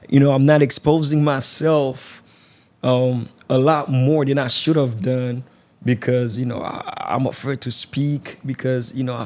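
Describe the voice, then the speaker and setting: A man with a Haitian accent speaks at a medium pitch. His pace is fairly slow and his intonation fairly even. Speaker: podcast host. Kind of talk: interview.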